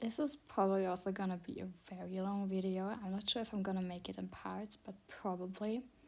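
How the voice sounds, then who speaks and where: A woman talks at a fairly quick pace with a non-native accent and hardly any pauses. Her pitch is medium and her intonation fairly even. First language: not English. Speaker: self-taught digital artist. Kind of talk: art tutorial commentary. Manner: halting, stuttering with many fillers.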